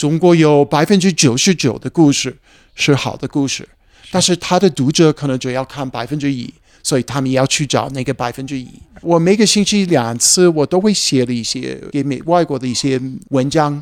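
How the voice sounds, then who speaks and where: In an English accent, a man speaks at a moderate pace and fairly high pitch with ordinary pitch variation, on a very clean recording with a silent background. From USA. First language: English (speaking Chinese). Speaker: heritage hotel founder. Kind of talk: casual chat. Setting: outdoors by rapeseed fields. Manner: halting.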